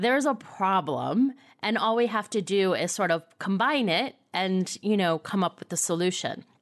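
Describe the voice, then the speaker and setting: Against a quiet background, a woman at medium pitch speaks at a moderate pace with lively intonation in an unremarkable speaking voice. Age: 50s. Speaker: podcast host. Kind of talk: interview.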